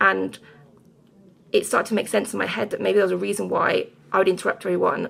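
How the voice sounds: A woman's fast speech at medium pitch, with vocal fry, a fairly bright tone and fairly even intonation.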